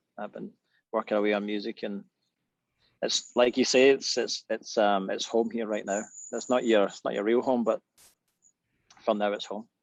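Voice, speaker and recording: A man with a west of Scotland accent talks at a moderate pace, leaving long, frequent pauses. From Scotland, Irvine, Ayrshire. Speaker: musician. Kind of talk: casual chat. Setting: video call from back porch.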